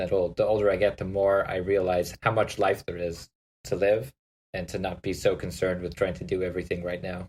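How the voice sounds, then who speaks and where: On a very clean recording with a silent background, a somewhat breathy voice moves at a fairly quick pace. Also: man. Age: 30s. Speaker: podcast host. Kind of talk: casual chat.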